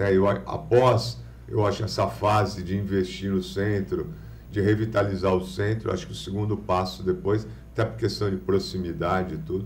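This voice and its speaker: A man with a very deep, low pitch speaks at a moderate pace with vocal fry. Audible room echo surrounds his voice. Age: 50s. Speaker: businessman and lawyer. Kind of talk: interview on a live podcast. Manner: halting, many false starts.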